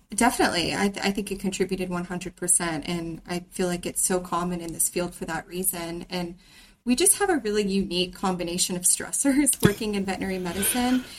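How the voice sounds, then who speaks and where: Speaking at a fairly quick pace, a woman uses a normal speaking voice at medium pitch. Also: ordinary pitch variation. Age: 20s. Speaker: veterinary technician. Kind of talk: casual chat.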